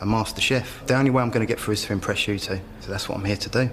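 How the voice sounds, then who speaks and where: A fairly low-pitched man with fairly even intonation amid noticeable background noise. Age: 30s. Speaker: cooking contestant. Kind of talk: interview.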